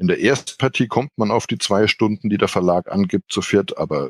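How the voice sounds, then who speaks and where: With an unremarkable speaking voice, a man talks at a moderate pace and a fairly low pitch with lively intonation, heard in a quiet background with a dry, close sound and no echo. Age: 40s. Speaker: board game editor. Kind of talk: casual chat.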